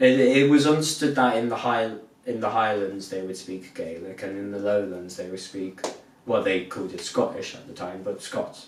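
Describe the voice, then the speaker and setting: In a Southwest England accent, a man with a fairly low pitch speaks at a moderate pace with ordinary pitch variation and big swings in loudness, amid audible room echo and noticeable background noise. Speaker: podcast co-host. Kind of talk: casual chat.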